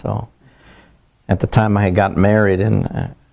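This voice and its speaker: Heard on a very clean recording with a silent background, a man with a dark, mellow tone and fairly low pitch talks at a moderate pace with fairly even intonation. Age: 70s. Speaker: barber. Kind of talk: oral history interview. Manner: halting, many fillers and repetitions.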